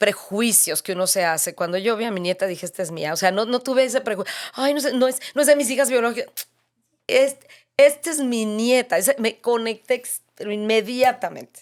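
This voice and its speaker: A woman's ordinary speaking voice, fairly high and fairly quick, with lively intonation, on a very clean recording with a silent background. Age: 60s. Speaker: author sharing faith testimony. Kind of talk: interview testimony.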